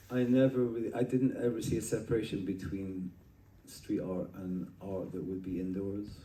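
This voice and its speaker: A somewhat breathy man's voice with a dark, mellow tone, moderate pace and audible room echo. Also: fairly low pitch for a man. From Scotland, Edinburgh. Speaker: artist. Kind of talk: casual interview conversation. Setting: at a street art festival. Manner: animated, with frequent filler and restarts.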